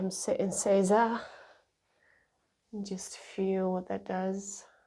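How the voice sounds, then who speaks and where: In a room with audible echo, a woman speaks very slowly at a medium pitch, her dark, mellow tone calm and soothing and her intonation monotone and flat. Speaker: shiatsu practitioner. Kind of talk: guided exercise instruction. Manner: slow, calm and soothing; voice lowered, relaxed.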